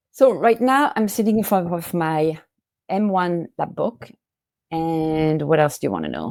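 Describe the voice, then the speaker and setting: On a very clean recording with a silent background, a woman with a French accent speaks at a fairly slow pace in a fairly low pitch for a woman, with lively intonation. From northern France (Valenciennes). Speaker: family photo curator. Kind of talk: interview.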